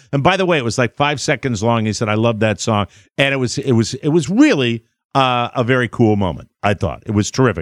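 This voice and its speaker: An American man with an ordinary speaking voice talks at a fairly quick pace and a medium pitch, his intonation lively. The sound is dry and close with no echo, over a quiet background. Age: 60s. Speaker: radio host. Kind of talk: casual chat. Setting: studio.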